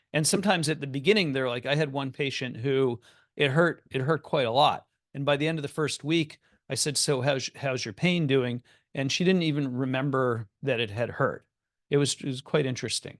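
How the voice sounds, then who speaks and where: Against a quiet background, the speech moves at a fairly quick pace with ordinary pitch variation and a dry, close sound with no echo. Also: man, fairly high pitch for a man. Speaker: psychiatrist. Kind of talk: lecture. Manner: fast.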